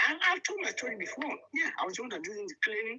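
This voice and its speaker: This man speaks very fast in a raised, projected voice with a strong Nigerian accent. His pitch is high for a man. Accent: Nigerian, very thick. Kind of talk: casual chat.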